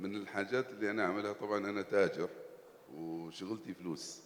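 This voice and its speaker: An Arabic accent with ordinary pitch variation. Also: man. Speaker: entrepreneur. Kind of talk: panel discussion.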